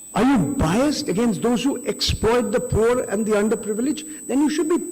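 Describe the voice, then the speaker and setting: A man speaks at an extremely high pitch. The room echo is audible. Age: 60s. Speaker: veteran journalist. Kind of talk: panel talk. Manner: animated.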